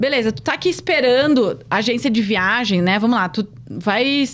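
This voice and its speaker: Very wide pitch swings from a woman with a fairly high voice and vocal fry, at very even loudness. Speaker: podcast host. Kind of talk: casual interview chat. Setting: podcast studio. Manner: fast when nervous.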